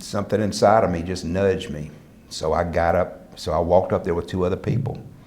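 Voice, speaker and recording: A man with an American accent talks very fast in a very deep, low voice. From US South. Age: 60s. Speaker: motivational speaker. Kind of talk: speech to an audience. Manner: animated.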